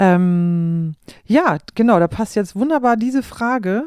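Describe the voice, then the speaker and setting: Speaking fairly slowly at medium pitch, a woman has a dark, mellow tone in a dry, close sound with no echo. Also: very clean recording, silent background. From East Frisia, Germany. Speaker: podcast host and musician. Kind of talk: interview conversation. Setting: in a living room at home.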